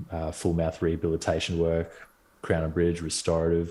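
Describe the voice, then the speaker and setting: In a very clean recording with a silent background, a man with an Australian accent speaks at a fairly quick pace, his very deep, low voice carrying a dark, mellow tone. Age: 30s. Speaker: dentist. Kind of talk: casual interview chat.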